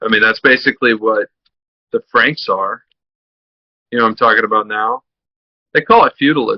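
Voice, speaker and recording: At a moderate pace, a man talks with long, frequent pauses. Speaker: podcast interviewer. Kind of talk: conversational interview.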